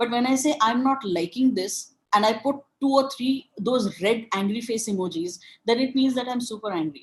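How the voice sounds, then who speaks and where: A woman's fairly high voice with an Indian accent, lively intonation and a moderate pace. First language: Marathi. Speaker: webinar speaker. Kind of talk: lecture. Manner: halting.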